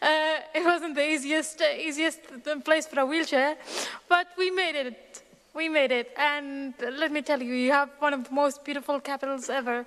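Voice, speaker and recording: Her voice is high in pitch, and the woman keeps a moderate pace with fairly even intonation. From Syria (Aleppo region). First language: Arabic. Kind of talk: personal testimony.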